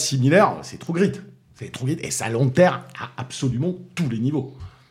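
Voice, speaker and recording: Pitched at a medium level, a man speaks at a moderate pace with ordinary pitch variation. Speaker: film critic. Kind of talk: casual chat. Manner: halting, repeats words.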